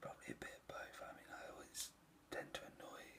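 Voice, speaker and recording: Whispering in a relaxed tone, a man speaks at a moderate pace. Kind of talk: whispered ASMR video answering tag questions. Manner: soft-spoken, whispered, relaxed.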